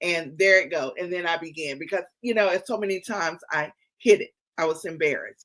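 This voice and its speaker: Here a woman with an American accent speaks at a fairly quick pace and a fairly low pitch, with ordinary pitch variation. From US South, North Carolina. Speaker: podcast host and publisher. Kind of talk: interview conversation.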